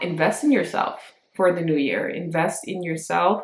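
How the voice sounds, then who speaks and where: Pitched very deep and low for a woman, her flat, monotone delivery carries audible room echo. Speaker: lifestyle vlogger. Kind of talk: casual vlog chat. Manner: casual, chatty.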